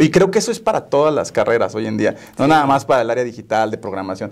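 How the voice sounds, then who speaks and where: Words come at a very fast speed from a man. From Mexico, Tampico, Tamaulipas; Tamaulipas, Mexico. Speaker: software company operations director; guest. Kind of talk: interview. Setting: studio. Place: studio. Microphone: lapel.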